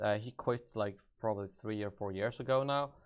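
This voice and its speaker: Against a quiet background, a man with a Swedish accent talks at a very fast pace with ordinary pitch variation. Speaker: gaming YouTuber. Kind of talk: live stream Q&A. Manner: halting.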